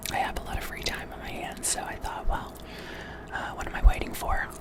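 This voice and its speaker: A man whispers at a fairly quick pace. Noticeable background noise runs behind him. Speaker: ASMR creator. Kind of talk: casual talk to camera. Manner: whispered, soft, conversational.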